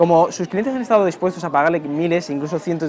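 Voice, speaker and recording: Noticeable background noise surrounds speech delivered at a very fast pace. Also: man. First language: Spanish. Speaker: interviewer. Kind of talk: interview. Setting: restaurant.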